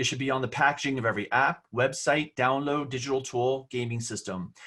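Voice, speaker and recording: A man speaks against a quiet background. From New Jersey. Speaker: online safety educator. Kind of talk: webinar presentation. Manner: fast; loud.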